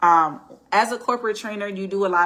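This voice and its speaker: A woman's bright, sharp tone. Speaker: vlogger, former corporate trainer. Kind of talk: casual monologue storytime. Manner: conversational, with fillers and restarts.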